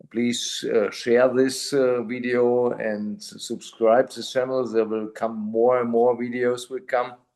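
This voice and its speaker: Very slow speech from a man at medium pitch. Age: 50s. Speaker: channel host, MS patient. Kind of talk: interview. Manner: halting.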